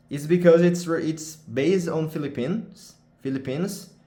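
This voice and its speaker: This man speaks with a Portuguese accent at a fairly slow pace, his pitch fairly high. His tone is dark and mellow, and the room echo is audible. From Brazil. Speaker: gaming streamer. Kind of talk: casual vlog talk. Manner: halting, self-correcting.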